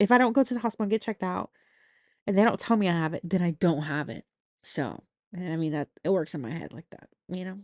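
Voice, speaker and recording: In a dry, close recording with no echo and a quiet background, a woman talks at a very fast pace with lively intonation. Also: medium pitch for a woman, big swings in loudness. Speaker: podcast host. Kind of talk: casual monologue. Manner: slurred words; low energy.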